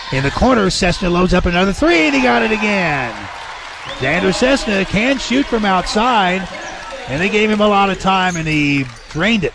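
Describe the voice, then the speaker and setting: Against crowd noise in the background, a man with a high pitch speaks at a moderate pace with lively intonation. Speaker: radio play-by-play announcer. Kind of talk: live play-by-play sports commentary. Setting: courtside in a high school gym. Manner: energetic, rising when a shot or foul happens.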